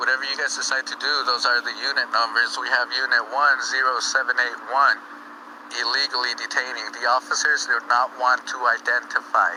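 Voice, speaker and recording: The speaker is a man talking at a fairly quick pace. Noticeable background noise can be heard. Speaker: cop-watching livestreamer. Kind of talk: live commentary.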